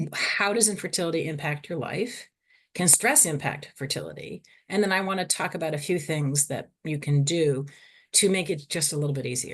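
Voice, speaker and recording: Against a quiet background, a woman with a Boston accent talks at a fairly quick pace in a fairly low pitch with lively intonation. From US Northeast (Boston). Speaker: psychologist and fertility researcher. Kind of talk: webinar lecture. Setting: online webinar. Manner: fast; hyper, energetic.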